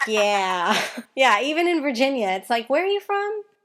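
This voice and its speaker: A woman speaks with a strong Mississippi accent. Her pace is moderate. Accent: Mississippi Southern accent, strong. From Mississippi, US South. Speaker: interviewer. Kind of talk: interview.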